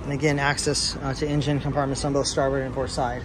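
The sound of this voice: Over clear background noise, a man talks at a medium pitch. His pace is fast, with little pitch movement.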